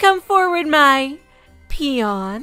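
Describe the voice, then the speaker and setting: A woman uses a put-on character voice, high in pitch with very wide pitch swings. Faint music plays in the background. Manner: regal, commanding.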